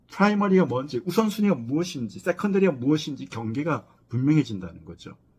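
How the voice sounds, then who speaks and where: Speaking at a very fast pace, a man uses a fairly high pitch with very wide pitch swings and a somewhat breathy tone. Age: 60s. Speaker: professor of death studies. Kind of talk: lecture. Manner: halting, with many fillers.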